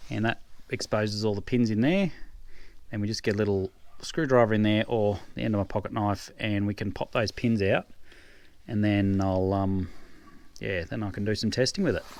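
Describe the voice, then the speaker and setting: Speaking with an Australian accent, a man uses fairly low pitch and fairly even intonation, leaving long, frequent pauses. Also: moderate pace. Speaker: farmer. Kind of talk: tutorial. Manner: quiet.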